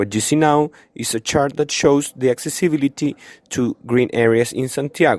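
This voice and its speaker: In a dry, close sound with no echo, a man speaks at a moderate pace with ordinary pitch variation. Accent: Chilean. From Chile. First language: Spanish. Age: 20s. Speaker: student vlogger. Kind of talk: video tour narration. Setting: outdoors in a park.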